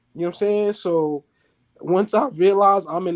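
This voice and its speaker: A man in a New York accent is heard against a quiet background, the sound dry and close with no echo. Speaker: father on a talk show. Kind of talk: casual chat.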